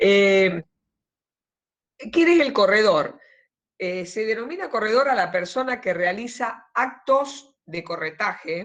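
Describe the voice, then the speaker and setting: Speaking at a very slow pace with long, frequent pauses, a woman uses a fairly high pitch and lively intonation. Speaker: law lecturer. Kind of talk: lecture. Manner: deliberately slow here.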